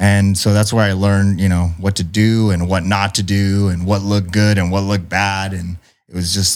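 In a monotone, flat delivery, a man with an American accent and a fairly low pitch speaks at a moderate pace on a very clean recording with a silent background. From San Diego South Bay, California. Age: 30s. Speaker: screen printing business owner. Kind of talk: casual interview chat. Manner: halting.

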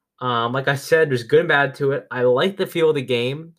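The man speaks with ordinary pitch variation. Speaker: podcast host. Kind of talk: casual solo podcast monologue about gaming. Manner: halting, filler words.

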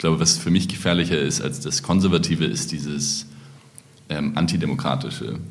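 A man with a very deep, low voice talks at a fairly quick pace with ordinary pitch variation, with audible room echo and noticeable background noise. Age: 30s. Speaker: party founder, politician. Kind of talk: casual chat.

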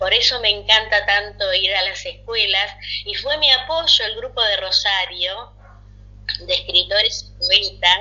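Her loudness swings widely. The woman speaks at a fairly slow pace. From Argentina. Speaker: writer and Reiki practitioner. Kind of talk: interview. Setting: recorded remotely.

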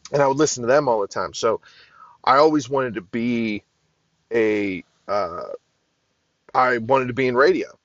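Speaking in an American accent at medium pitch, a man keeps a moderate pace and fairly even intonation with long, frequent pauses. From Pittsburgh, Pennsylvania. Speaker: podcast host. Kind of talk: casual monologue. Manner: hesitant, many fillers.

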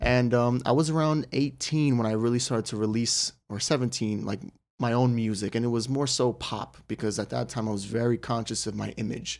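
A man with an unremarkable speaking voice at medium pitch talks at a fairly quick pace with fairly even intonation and hardly any pauses, in a very clean recording with a silent background. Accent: American. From northern New Jersey. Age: 20s. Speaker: professional boxer. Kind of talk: casual interview. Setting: studio.

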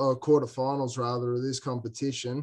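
This man has an Australian accent and a medium pitch. He talks at a moderate pace with monotone, flat intonation. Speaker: cricket player, guest. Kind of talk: casual chat.

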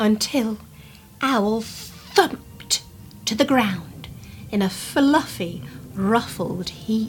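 This natural reading voice carries ordinary pitch variation.

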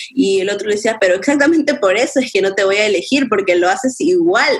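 A woman talks at a fairly quick pace and a fairly high pitch, her intonation lively. Noticeable background noise runs underneath. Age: 20s. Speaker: graphic designer and photographer. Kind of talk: casual chat.

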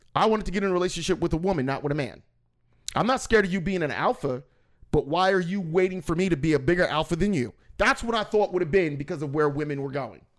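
A man's high, animated voice at a very fast pace, ordinary pitch variation, quiet background. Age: 40s. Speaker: podcast host. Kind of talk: casual chat.

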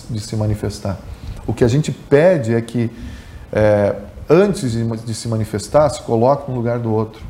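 A man's normal speaking voice at medium pitch and a moderate pace, with ordinary pitch variation. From Rio Grande do Sul, Brazil (grew up in Capinzal, Santa Catarina). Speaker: journalist and former radio sports narrator. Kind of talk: podcast interview.

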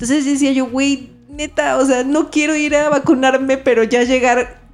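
Over noticeable background noise, a woman talks at a moderate pace with a high pitch and fairly even intonation. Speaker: podcast co-host. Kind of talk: casual chat.

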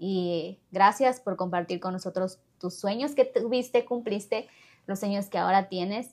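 A woman's medium-pitched, ordinary speaking voice, an ordinary speaking voice with ordinary pitch variation at a fairly slow pace. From Ecuador. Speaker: podcast host. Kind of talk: casual interview.

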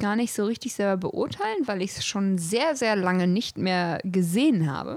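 A woman at medium pitch, at a fairly slow pace, with an unremarkable speaking voice. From German village. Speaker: podcast co-host. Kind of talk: casual chat.

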